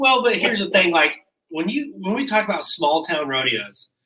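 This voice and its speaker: A man talks with a Kansas accent in a bright, sharp tone. His pitch swings very widely. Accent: rural Midwestern (Kansas). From Kansas, Abbyville. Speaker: podcast co-host and rodeo cowboy. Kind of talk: casual chat. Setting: at a house.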